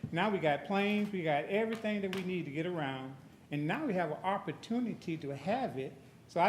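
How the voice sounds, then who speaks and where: There is audible room echo in the recording. Through it a man speaks at a moderate pace. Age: 70s. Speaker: public commenter at county meeting. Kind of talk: public comment. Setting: county board meeting.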